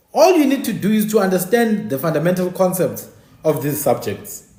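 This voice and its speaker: A man talks in an animated tone, high in pitch with very wide swings. Audible room echo surrounds his voice. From South Africa. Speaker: online talk show host. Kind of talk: livestream monologue. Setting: live stream.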